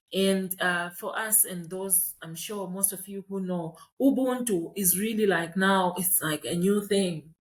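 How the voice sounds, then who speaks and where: Speaking at a fairly slow pace with hardly any pauses, a woman of medium pitch sounds somewhat breathy, her intonation fairly even but her loudness swinging widely. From rural Zimbabwe. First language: Ndebele or another Zimbabwean language. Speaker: farmer and educator. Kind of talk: casual chat.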